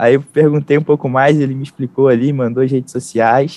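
A man's fairly high-pitched, dark and mellow voice, fairly even in intonation and fairly quick in pace. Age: 20s. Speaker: digital marketing entrepreneur. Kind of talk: interview.

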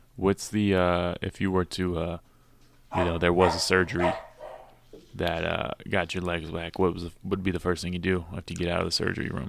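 A man's very deep, low voice in a monotone, flat delivery at a fairly quick pace, with noticeable background noise. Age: 20s. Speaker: podcast host and comedian. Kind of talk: casual chat.

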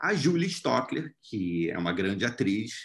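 A man's bright, sharp tone with vocal fry and very wide pitch swings. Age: 30s. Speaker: actor and screenwriter. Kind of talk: interview.

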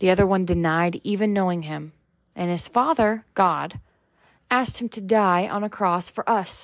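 On a very clean recording against a silent background, an ordinary speaking voice proceeds at a moderate pace with ordinary pitch variation. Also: woman, medium pitch for a woman. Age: 20s. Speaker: faith podcast host. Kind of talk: devotional talk.

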